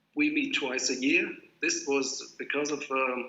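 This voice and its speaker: Spoken at a fairly slow pace, the words carry audible room echo. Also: man. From Greece (German family, also Japan and France). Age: 50s. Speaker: graphic designer. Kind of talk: lecture. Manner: hesitant, with fillers.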